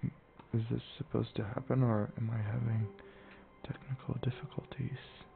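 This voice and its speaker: A soft-spoken man with fairly even intonation. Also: medium pitch for a man, moderate pace. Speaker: ASMR gaming channel host. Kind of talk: casual gameplay commentary.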